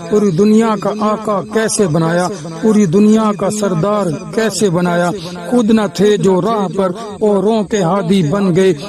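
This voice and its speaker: Noticeable background noise sits behind the speech. The intonation stays fairly even. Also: man, high pitch for a man. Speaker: Islamic preacher / scholar. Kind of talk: Islamic sermon (bayan). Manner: emphatic, rhetorical, repetitive.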